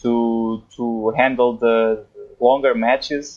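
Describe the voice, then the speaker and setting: A man speaks with a Portuguese accent. Music plays in the background. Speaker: tennis writer. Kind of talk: interview. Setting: remote call from home, late at night. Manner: halting.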